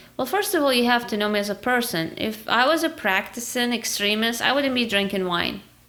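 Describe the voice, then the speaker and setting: A woman with an Arabic accent talks at a fairly quick pace with hardly any pauses, her fairly high pitch carried by lively intonation. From Iraq. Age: 30s. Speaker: podcast guest. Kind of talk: casual interview chat.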